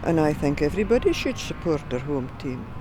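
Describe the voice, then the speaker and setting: Over noticeable background noise, a woman speaks with a Scottish accent. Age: 80s+. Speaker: football fan. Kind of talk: documentary interview.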